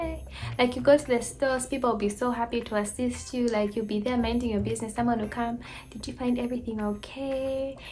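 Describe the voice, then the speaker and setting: A woman speaks at a fairly quick pace with a fairly high pitch. Audible room echo and noticeable background noise surround her voice. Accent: American. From Zambia. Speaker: vlogger. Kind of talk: casual vlog talk. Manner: animated.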